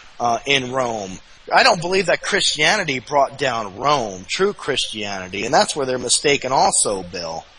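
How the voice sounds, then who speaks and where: A man with an American accent speaks at a moderate pace and a medium pitch, making very wide pitch swings. Noticeable background noise is present. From New Jersey. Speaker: guest, website host. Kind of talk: podcast interview discussion. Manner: halting, stuttering.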